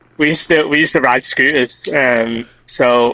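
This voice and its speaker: With a Liverpool accent, a man talks at medium pitch in a dry, close sound with no echo. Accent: Liverpool (Scouse) English. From Liverpool, England. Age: 20s. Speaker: kendama player. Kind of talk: casual interview.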